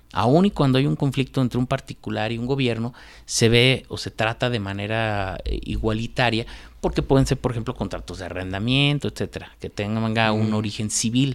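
This is an ordinary speaking voice at a moderate pace with ordinary pitch variation, on a very clean recording with a silent background. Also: man, medium pitch for a man. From Guanajuato, Mexico. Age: 40s. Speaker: lawyer and columnist. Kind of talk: radio interview. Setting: radio studio.

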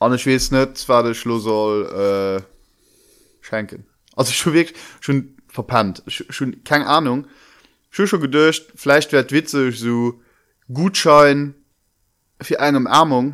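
A man at medium pitch with ordinary pitch variation, very slow pace and long, frequent pauses, in a very clean recording with a silent background. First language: Luxembourgish (speaking German). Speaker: podcast co-host. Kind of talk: casual chat.

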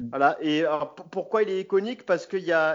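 Speaking at a moderate pace, a man uses a high voice with ordinary pitch variation. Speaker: football fan guest. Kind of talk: casual chat. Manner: halting.

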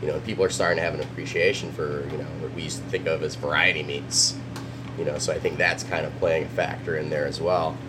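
Against noticeable background noise and audible room echo, a man talks at a very fast pace. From Filipino-American. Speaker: chef and restaurant co-owner. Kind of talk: interview. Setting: restaurant.

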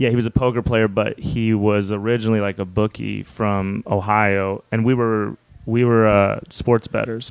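Hardly pausing, a man with a fairly low pitch speaks at a moderate pace in a monotone, flat voice, the sound dry and close with no echo. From Wyoming, small town. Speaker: comedian. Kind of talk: casual storytelling.

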